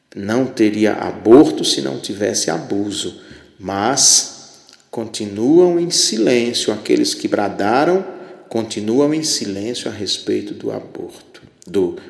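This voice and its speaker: Amid noticeable background noise and audible room echo, a man talks at a very slow pace. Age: 50s. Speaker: podcast host, religious commentator. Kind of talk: solo commentary monologue.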